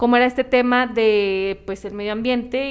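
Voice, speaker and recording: A woman with a Mexican accent and fairly even intonation. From Mexico. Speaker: podcast co-host. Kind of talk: casual chat; reading aloud.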